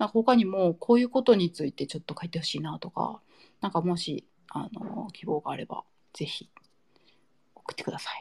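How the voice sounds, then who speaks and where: In a plain, everyday voice of medium pitch, a woman speaks at a moderate pace with lively intonation on a very clean recording with a silent background. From Nara, Japan. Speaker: podcast host. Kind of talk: casual chat.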